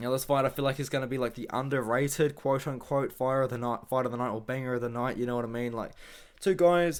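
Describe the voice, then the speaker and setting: On a very clean recording with a silent background, a man speaks very fast at a medium pitch with fairly even intonation. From New Zealand. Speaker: MMA YouTuber and fight analyst. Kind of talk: casual fight predictions monologue. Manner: casual, rambling with fillers.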